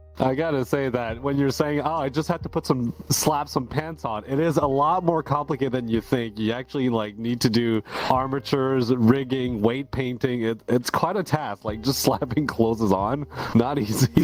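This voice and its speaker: At a moderate pace and with hardly any pauses, a man of medium pitch talks with ordinary pitch variation amid noticeable background noise. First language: French. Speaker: podcast co-host. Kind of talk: podcast chat.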